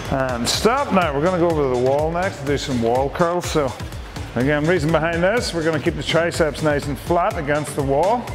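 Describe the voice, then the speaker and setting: A man's fairly quick talking sits on top of clear background music. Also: ordinary pitch variation. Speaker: fitness instructor. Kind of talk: workout instruction. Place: gym.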